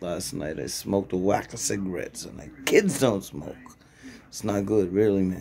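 A man speaks at a moderate pace with a fairly low pitch and vocal fry. His intonation is lively and his loudness swings widely. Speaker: vlogger in recovery. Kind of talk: casual vlog. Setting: early morning, self-recorded video. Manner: casual, rambling slang.

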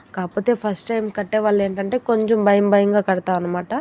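The sound is dry and close with no echo. A woman with a medium pitch speaks with a dark, mellow tone and fairly even intonation. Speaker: vlogger. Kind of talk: vlog voice-over narration.

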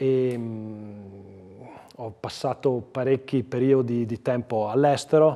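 A man's dark, mellow voice in a Trentino accent, with fairly even intonation. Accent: Lombard-sounding Giudicarie. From Trentino, Giudicarie (Storo area); Trentino, Italy. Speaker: provincial councillor; council guest. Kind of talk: TV interview; interview answer. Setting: studio. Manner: hesitant, with fillers. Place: studio. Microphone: lapel.

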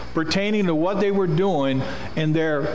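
A man's voice swings very widely in pitch. Light background noise and audible room echo come through. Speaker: preacher. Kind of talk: sermon. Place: church. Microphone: podium.

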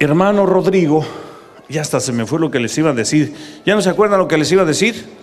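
Lively in intonation and animated in tone, a man rattles along at a very fast pace. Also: fairly high pitch for a man. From Mexico. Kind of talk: preaching talk to live audience. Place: stadium. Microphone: handheld.

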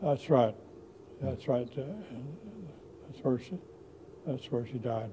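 Noticeable background noise sits behind a man with a dark, mellow tone, somewhat breathy. He goes at a fairly slow pace with ordinary pitch variation. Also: medium pitch for a man, big swings in loudness. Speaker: war veteran. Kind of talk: interview answer. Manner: hesitant, halting. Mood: reminiscent, calm. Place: home room. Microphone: lapel.

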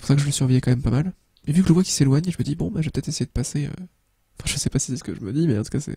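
A man's very fast, somewhat breathy voice, fairly high in pitch with a dark, mellow tone and ordinary pitch variation, in a dry, close sound with no echo. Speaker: gaming youtuber. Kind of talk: let's play commentary.

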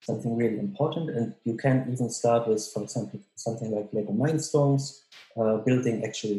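Audible room echo surrounds a man speaking at a moderate pace. His pitch varies in an ordinary way. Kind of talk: interview answer. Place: home room. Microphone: webcam.

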